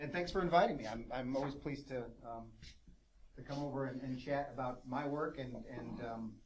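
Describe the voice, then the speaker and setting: A man's medium-pitched voice with an American accent and fairly even intonation, plus audible room echo. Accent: sounds East Coast American to some people. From United States. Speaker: professor. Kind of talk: lecture. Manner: fast.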